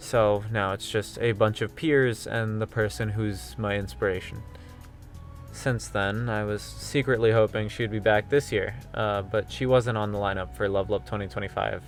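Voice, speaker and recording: Over music in the background, a man with a fairly low pitch speaks at a moderate pace with lively intonation. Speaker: VTuber / streamer. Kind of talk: scripted commentary video narration. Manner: sardonic, casual.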